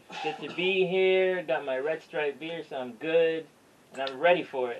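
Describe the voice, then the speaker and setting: A man talks at a moderate pace with fairly even intonation. Background noise is noticeable. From Jamaica, moved to New York at 12. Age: young. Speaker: aspiring writer. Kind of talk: podcast interview answer.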